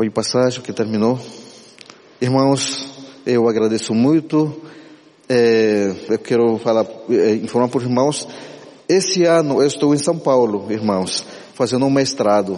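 At a fairly slow pace with long, frequent pauses, this speaker uses ordinary pitch variation and an Amazonian accent. Audible room echo and noticeable background noise fill the recording. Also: man, medium pitch for a man. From Ticuna people, Amazonas, Brazil. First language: Ticuna (speaking Portuguese). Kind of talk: church talk.

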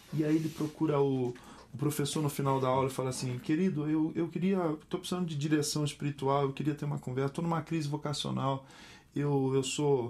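Fairly high in pitch, a man with an ordinary speaking voice talks at a fairly quick pace with fairly even intonation. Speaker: pastor and musician. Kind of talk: casual interview chat.

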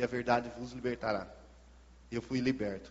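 It is a man speaking. His pace is fairly slow. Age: 20s. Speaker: former drug user. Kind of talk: testimony. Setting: church service.

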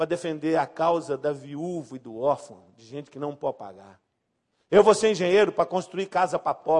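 A man with a plain, everyday voice speaks at a moderate pace and a fairly high pitch. His pitch variation is ordinary, while his loudness swings widely. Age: 50s. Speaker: pastor. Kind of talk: sermon.

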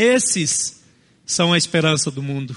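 The voice is raised and projected, with a bright, sharp tone. It moves at a fairly slow pace with lively intonation. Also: man. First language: a non-Portuguese family language (speaking Portuguese). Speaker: pastor. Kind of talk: sermon.

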